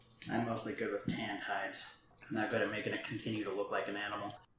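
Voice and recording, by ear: Speaking fast with little pitch movement, a man's fairly low, fairly bright voice rings with strong room echo.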